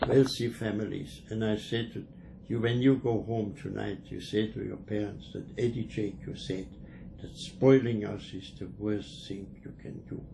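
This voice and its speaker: A man speaks fairly slowly in a German accent, with a fairly low pitch, a dark, mellow tone and a somewhat breathy voice. His pitch varies in an ordinary way, his loudness swings widely, and audible room echo surrounds him. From Germany. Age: 80s+. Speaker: Holocaust survivor. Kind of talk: interview. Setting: museum. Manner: halting.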